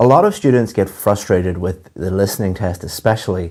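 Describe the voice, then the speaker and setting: A man's fairly low voice has a dark, mellow tone, ordinary pitch variation and a moderate pace. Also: very clean recording, silent background. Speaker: English teacher. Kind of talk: lecture. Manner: clear.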